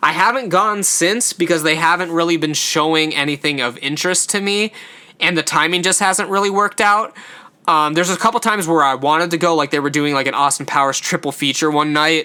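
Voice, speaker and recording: Here a man talks at a fairly quick pace with a high pitch. His loudness stays very even, and his pitch varies in an ordinary way. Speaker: podcast host. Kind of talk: solo podcast review monologue. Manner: stumbles over words often; casual, filler-heavy.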